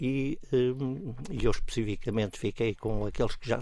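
The man has a normal speaking voice. It sits at medium pitch with ordinary pitch variation. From Portugal, Estoril near Lisbon. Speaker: volunteer and parents' association leader. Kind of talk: radio interview.

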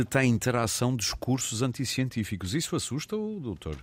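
A man speaks in a normal speaking voice. His intonation is lively, and his pace is moderate. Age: 50s. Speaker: radio host. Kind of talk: radio interview.

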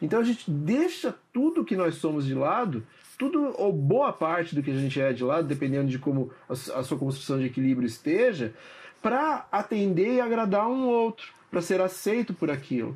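Using very wide pitch swings, a man with a Brazilian accent speaks at a high pitch. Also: moderate pace. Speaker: psychoanalyst. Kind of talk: interview. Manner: hesitant, repeats words.

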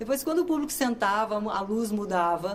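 Moderate-paced speech from a woman with a fairly high pitch, noticeable background noise behind it. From Brazil, Minas Gerais. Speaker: actress and comedian. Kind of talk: interview.

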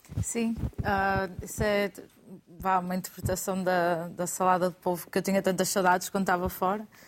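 Moderate pace and monotone, flat intonation from a woman at a medium pitch. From Portugal. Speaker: chef. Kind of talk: studio panel discussion. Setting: studio.

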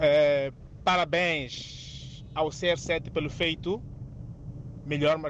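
A man talks with fairly even intonation. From Mozambique. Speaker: radio caller. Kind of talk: phone-in opinion.

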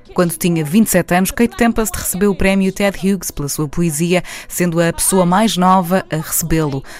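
Very fast speech with hardly any pauses and ordinary pitch variation, and music in the background. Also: woman, medium pitch for a woman. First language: Portuguese. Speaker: radio presenter. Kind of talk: scripted narration.

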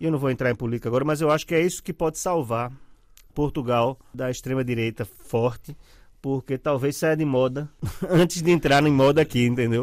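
In a very clean recording against a silent background, an unremarkable speaking voice carries ordinary pitch variation. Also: man, medium pitch for a man, fairly quick pace. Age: 50s. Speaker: journalist and writer. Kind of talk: casual interview chat.

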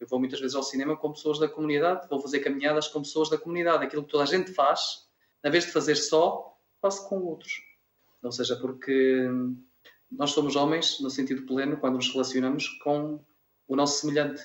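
An unremarkable speaking voice from a man, fairly high in pitch, with fairly even intonation. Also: fairly quick pace. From Minho, Braga district, northern Portugal. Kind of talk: radio interview.

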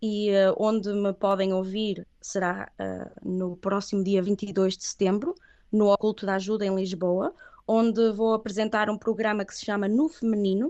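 A woman's plain, everyday voice, medium in pitch, at a fairly slow pace with fairly even intonation. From northern Portugal, Viana do Castelo. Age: 30s. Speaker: singer. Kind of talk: interview.

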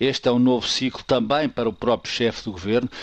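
A man talks at a medium pitch with fairly even intonation, using a plain, everyday voice. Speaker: political commentator. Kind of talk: radio commentary.

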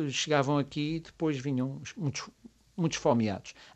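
At a moderate pace, a man speaks at a fairly high pitch. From Azores, Graciosa and Terceira. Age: 50s. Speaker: writer and high school teacher. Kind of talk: radio interview.

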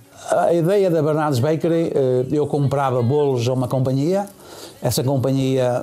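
Noticeable noise fills the background. Through it, a man speaks at a moderate speed. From Portugal. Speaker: bakery business owner. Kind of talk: interview.

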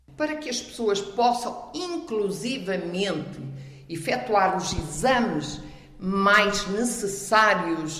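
A woman speaks at a medium pitch with audible room echo and noticeable background noise. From Miranda do Douro, Portugal; lived in Angola. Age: 60s. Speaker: local election candidate, retiree. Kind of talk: interview.

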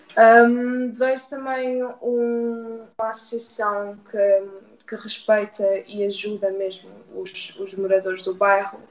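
Against noticeable background noise, a woman talks very slowly with a fairly high pitch, fairly even intonation and big swings in loudness. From Portugal, Oeiras (Lisbon area). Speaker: youth community worker. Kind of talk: radio interview.

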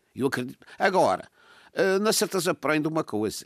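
A man talks fairly quickly with lively intonation, fairly high pitch for a man and some vocal fry. The recording is very clean with a silent background and a dry, close sound with no echo. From Madeira, Portugal. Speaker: political commentator. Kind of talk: political discussion.

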